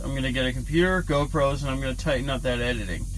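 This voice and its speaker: Audible room echo around a man's fairly high-pitched voice, its pitch varying in an ordinary way. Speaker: trucker vlogger. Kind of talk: casual vlog talk to camera. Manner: mumbling, stumbling; halting, stuttering.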